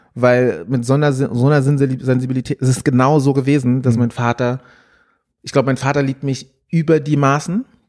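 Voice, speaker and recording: Recorded very cleanly against a silent background, a man speaks at medium pitch and a moderate pace, his tone dark and mellow with ordinary pitch variation. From Frankfurt, Germany. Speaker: musician. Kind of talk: interview. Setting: office. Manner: animated.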